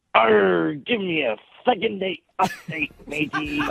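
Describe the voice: In a put-on character voice with a middle pitch, the speaker moves at a fairly slow pace with very wide pitch swings.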